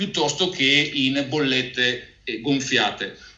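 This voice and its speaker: A man speaks with audible room echo. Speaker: financial advisor hosting a webinar; presenter. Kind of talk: webinar presentation and interview. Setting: online webinar video call. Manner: halting, frequent repetitions. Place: office. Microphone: earbuds.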